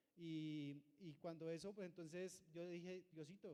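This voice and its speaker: With a dark, mellow tone, a man speaks in fairly even intonation. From Colombia, Cundinamarca. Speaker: churchgoer giving testimony. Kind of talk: testimony. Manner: halting.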